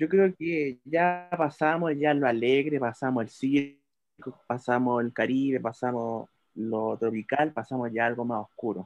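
A man's normal speaking voice of medium pitch, fairly slow with hardly any pauses and ordinary pitch variation. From Chile. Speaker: podcast panelist. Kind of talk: casual chat.

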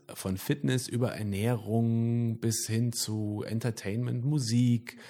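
In a dark, mellow tone, a man speaks at a very slow pace with fairly even intonation and hardly any pauses. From Sauerland, Germany. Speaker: band singer. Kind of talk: casual interview chat.

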